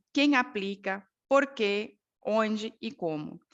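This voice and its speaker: A woman speaks with a Bolivian accent. Her voice is fairly high, with lively intonation. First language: Spanish (speaking Portuguese). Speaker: ergonomist and quality management professor. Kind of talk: online talk presentation. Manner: halting, many fillers.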